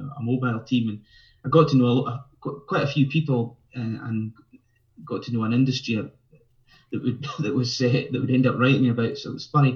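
At a moderate pace, a man talks at a medium pitch with fairly even intonation.

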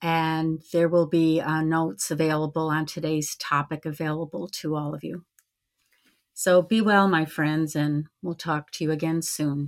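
On a very clean recording with a silent background, a woman with an American accent and a very deep, low pitch speaks at a fairly slow pace with fairly even intonation. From Syracuse, New York. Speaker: podcast co-host, Mohawk Nation citizen. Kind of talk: interview. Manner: hesitant, many fillers.

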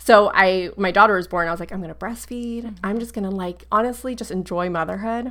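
With an American accent and a plain, everyday voice, a woman talks at a fairly quick pace with hardly any pauses and big swings in loudness. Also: medium pitch for a woman, ordinary pitch variation. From Florida. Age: 30s. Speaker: wellness business owner. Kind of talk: interview.

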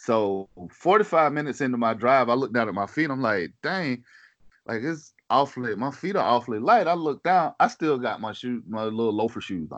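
Against a quiet background, a man with a Southern US accent speaks at a fairly quick pace. His intonation is lively. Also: medium pitch for a man. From US South, South Carolina. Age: 40s. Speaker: hunting podcaster. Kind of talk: casual chat.

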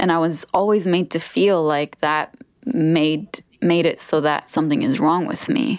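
A woman talks at a fairly slow pace in an ordinary speaking voice. Her pitch is fairly low, set against a quiet background. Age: 30s. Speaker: author and speaker. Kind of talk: casual chat.

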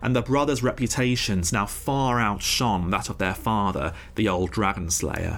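Over music in the background, a man speaks in a dramatic tone with a fairly low pitch and very wide pitch swings. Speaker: narrator and podcast host. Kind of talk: epic saga narration, scripted storytelling. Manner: dramatic, measured, vivid storyteller.

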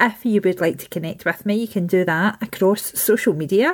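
With a Scottish accent, a woman speaks with ordinary pitch variation. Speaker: podcast host. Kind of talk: interview conversation.

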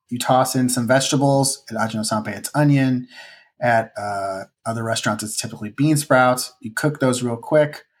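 With a Chicago accent, a man speaks at a medium pitch and a moderate pace. His intonation stays fairly even. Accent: Chicago accent, noticeable on the A vowels. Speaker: ramen cook and cookbook author. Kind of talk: casual podcast interview.

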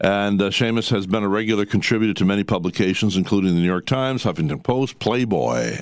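A man with an unremarkable speaking voice, pitched fairly low, with ordinary pitch variation. The recording is very clean with a silent background. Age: 60s. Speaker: radio host. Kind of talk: casual chat.

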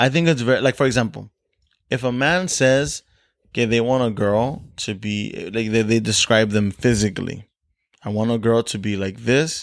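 In a very clean recording with a silent background, someone speaks with an American accent at a moderate pace and with ordinary pitch variation. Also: man, medium pitch for a man. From US, Mexican American. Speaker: podcast host. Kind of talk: casual chat.

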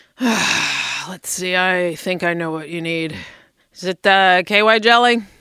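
In a put-on character voice, a woman speaks slowly at a fairly low pitch with a bright, sharp yet clear, smooth tone. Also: ordinary pitch variation.

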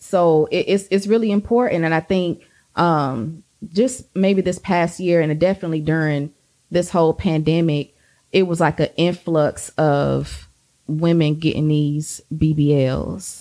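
In a Southern US accent, a woman speaks at a fairly slow pace with a fairly low pitch and a dark, mellow tone. Her loudness is very even and her pitch variation ordinary. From US South, Georgia. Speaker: podcast co-host. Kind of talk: casual chat.

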